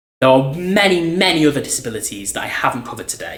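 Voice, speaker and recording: Audible room echo surrounds a man speaking at a very fast pace in an animated tone with ordinary pitch variation. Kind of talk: talk to camera. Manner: loud.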